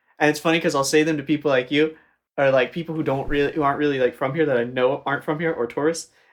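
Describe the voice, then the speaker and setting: Against a quiet background, a man with an American accent talks very fast in a fairly high, monotone, flat voice. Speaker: gaming podcast co-host. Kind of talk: casual chat while playing a game.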